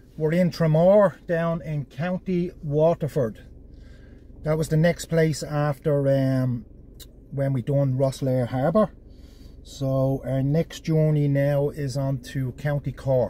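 The voice is somewhat breathy and very slow, with fairly even intonation and a dry sound with no echo. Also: man. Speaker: travel vlogger. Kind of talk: casual vlog chat. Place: car. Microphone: phone near.

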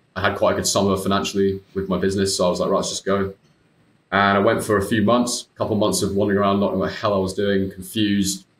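In a British accent, a man talks very fast in a fairly low, flat monotone, with audible echo from the room. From UK. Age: 20s. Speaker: IBD patient and former coaching client; interview guest. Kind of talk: casual interview chat. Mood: reflective, candid. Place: home room. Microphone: earbuds.

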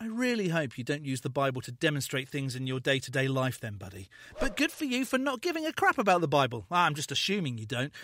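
A man with a British accent speaks at a very fast pace with hardly any pauses. His fairly high voice has a bright, sharp tone and very wide pitch swings. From Britain. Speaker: YouTube commentator, atheist channel host. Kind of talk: reaction commentary.

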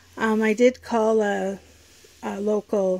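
This is a woman speaking. Her tone is dark and mellow. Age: 50s. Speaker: YouTube vlogger. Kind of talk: casual vlog talk to camera. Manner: hesitant, many fillers. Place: home room. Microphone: phone near.

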